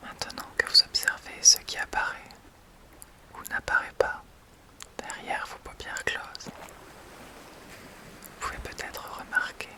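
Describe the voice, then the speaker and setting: Whispering at a very slow pace with long, frequent pauses and big swings in loudness, a woman is heard over noticeable background noise. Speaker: hypnotherapist. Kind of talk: guided hypnosis session.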